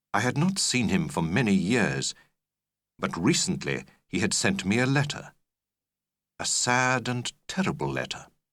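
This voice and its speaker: A man's medium-pitched voice with vocal fry and very wide pitch swings, at a fairly slow pace broken by long, frequent pauses. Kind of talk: audiobook narration of a graded reader. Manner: measured, clear pacing for learners.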